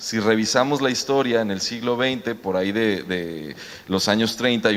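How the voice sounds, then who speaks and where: A man with a medium-pitched voice and ordinary pitch variation is heard against noticeable background noise. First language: Mexican Sign Language (speaking Spanish). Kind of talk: panel discussion.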